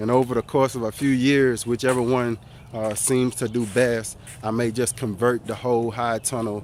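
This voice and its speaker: A medium-pitched man with monotone, flat intonation. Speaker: home gardener vlogger. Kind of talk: casual tutorial walkthrough. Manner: fast.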